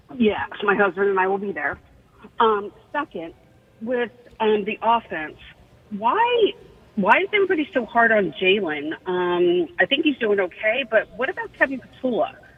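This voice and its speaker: A woman talks at a moderate pace with a fairly high pitch and very wide pitch swings. Noticeable background noise runs underneath. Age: 60s. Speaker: caller. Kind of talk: radio call-in.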